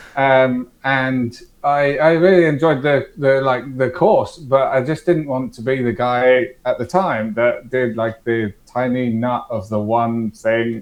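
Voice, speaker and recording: A man speaks in an English accent. His medium pitch shows ordinary variation. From England. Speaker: startup founder, former security director. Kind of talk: podcast interview. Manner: hesitant, many fillers and repeats.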